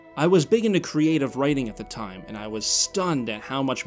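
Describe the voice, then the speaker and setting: A man talks at a very fast pace with lively intonation while music plays in the background. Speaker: YouTuber. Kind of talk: scripted narration. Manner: showy, overly energetic delivery.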